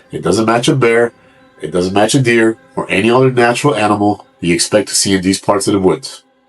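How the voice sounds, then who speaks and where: Music plays in the background as a man talks at a fairly quick pace. His pitch is fairly low, with ordinary variation. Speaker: mystery narrator. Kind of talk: true mystery narration.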